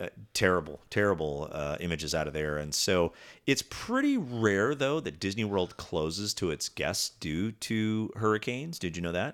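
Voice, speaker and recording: Here a man talks at a moderate pace in a fairly low voice with lively intonation. It is an ordinary speaking voice. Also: very clean recording, silent background. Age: 50s. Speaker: podcast co-host. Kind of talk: casual chat.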